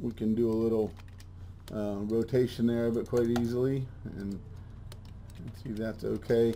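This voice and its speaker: Dark and mellow in tone, a man speaks at a medium pitch and moderate pace, monotone and flat, with long, frequent pauses. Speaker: software trainer. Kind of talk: tutorial. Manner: casual with filler words and restarts.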